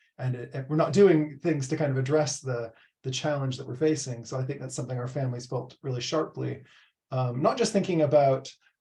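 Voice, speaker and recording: A man with an American accent, medium pitch and a dark, mellow tone, somewhat breathy, at a fairly quick pace with ordinary pitch variation. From US Pacific Northwest, Seattle. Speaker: professor. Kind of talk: presentation. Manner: hesitant, many fillers.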